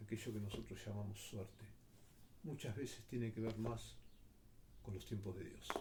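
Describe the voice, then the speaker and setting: Amid audible room echo, a man speaks at a moderate pace and medium pitch with vocal fry, fairly even intonation and long, frequent pauses. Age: 60s. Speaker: commentator. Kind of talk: personal reflection monologue.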